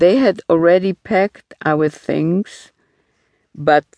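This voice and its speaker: A woman's fairly low, gentle, solemn voice at a very slow pace, with ordinary pitch variation and a dry, close sound with no echo. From Poland. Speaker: audiobook narrator and memoirist. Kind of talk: audiobook memoir reading, first-person recollection of childhood in wartime. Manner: measured, solemn, slow, reflective storytelling pace; quiet, wistful, sober tone with gentle emotional restraint.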